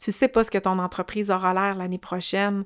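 Dry and close with no echo, on a very clean recording with a silent background, a woman speaks in a monotone, flat intonation. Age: 40s. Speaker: social entrepreneur. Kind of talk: interview.

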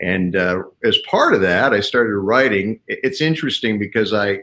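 A man's unremarkable speaking voice sits at a fairly low pitch and moves at a moderate pace. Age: 60s. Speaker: leadership speaker and author. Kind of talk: interview.

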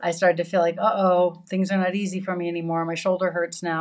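Over a quiet background, a woman talks fairly quickly in a fairly low register. Hers is an ordinary speaking voice. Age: 60s. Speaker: yoga teacher. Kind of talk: casual chat.

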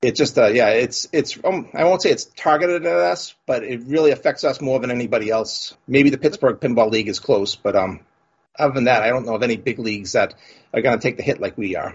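With an American accent, a man speaks at a medium pitch, somewhat breathy and fairly quick, using lively intonation and hardly any pauses. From Boston area, US. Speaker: pinball league organizer. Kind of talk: casual chat.

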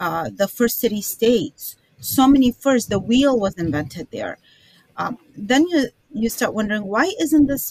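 Her voice is fairly high for a woman, with very wide pitch swings. She speaks fairly slowly in a dry, close sound with no echo. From Iraq (Baghdad), moved to the US as a child. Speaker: author and filmmaker. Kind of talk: interview.

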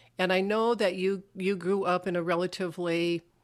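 Here is a woman with an ordinary speaking voice, fairly low in pitch. The recording is very clean, with a silent background. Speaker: minister and podcast host. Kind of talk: interview chat.

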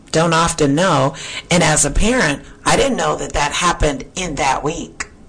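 Fairly low-pitched woman's voice over noticeable background noise. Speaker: radio host. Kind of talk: radio interview. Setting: studio.

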